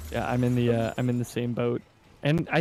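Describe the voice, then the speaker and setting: A man at a fairly quick pace with a slight Canadian accent. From Canada. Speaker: game community stream co-host. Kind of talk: casual chat.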